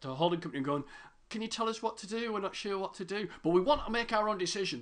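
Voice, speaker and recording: Someone with a British accent speaks at a very fast pace, pitch swinging very widely. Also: man. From Britain. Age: 40s. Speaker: podcast host. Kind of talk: casual interview chat.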